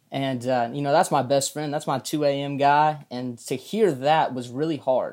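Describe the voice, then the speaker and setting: This man's voice sits fairly high. His intonation is fairly even. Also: moderate pace. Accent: Southern US. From Arkansas, US South. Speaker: college ministry intern. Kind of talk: casual chat.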